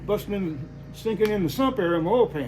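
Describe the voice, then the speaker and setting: A high-pitched man talks with lively intonation over noticeable background noise, and audible room echo surrounds his voice. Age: 70s. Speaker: hot rod garage owner. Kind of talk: casual chat.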